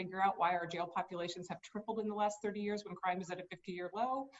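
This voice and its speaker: Very fast in pace, a woman talks at a medium pitch with fairly even intonation. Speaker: state supreme court justice. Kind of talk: campaign speech.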